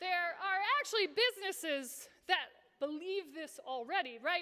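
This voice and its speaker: Over noticeable background noise, a woman with an American accent speaks in a raised, projected voice at a fairly slow pace with lively intonation. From Iowa, US Midwest. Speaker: social entrepreneur and speaker. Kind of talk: conference talk. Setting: stage with audience. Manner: animated.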